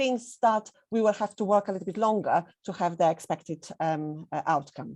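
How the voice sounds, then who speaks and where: Captured in a very clean recording with a silent background, a woman with a Polish accent speaks at a medium pitch with ordinary pitch variation. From Poland. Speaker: head teacher. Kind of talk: presentation. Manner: hesitant, with fillers.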